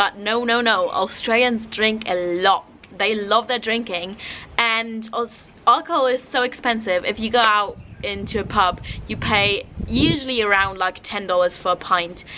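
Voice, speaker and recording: A woman with a German accent, fairly high in pitch, with ordinary pitch variation and a moderate pace, over noticeable background noise. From Germany. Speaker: travel vlogger. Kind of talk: casual vlog talk. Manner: casual, lots of fillers.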